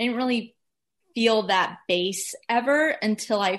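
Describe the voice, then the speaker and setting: This is an unremarkable speaking voice with an American accent and ordinary pitch variation. The pace is fairly slow against a quiet background. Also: woman. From US South, Atlanta, Georgia. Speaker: musician. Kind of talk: casual interview chat.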